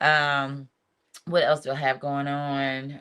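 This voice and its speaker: In a Southern US accent, a woman speaks at a fairly slow pace. The recording is very clean, with a silent background. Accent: Southern country. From US South. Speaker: reality TV contestant and singer. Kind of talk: casual chat. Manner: animated.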